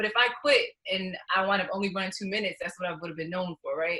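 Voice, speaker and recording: Speaking very fast with an American accent, a woman keeps a medium pitch and fairly even intonation. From New York. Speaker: professional runner. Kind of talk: interview.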